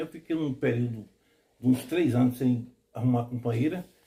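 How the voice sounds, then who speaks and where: A man speaks in a dark, mellow tone, somewhat breathy, with ordinary pitch variation. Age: 60s. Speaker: quilombo community leader. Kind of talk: documentary interview testimony.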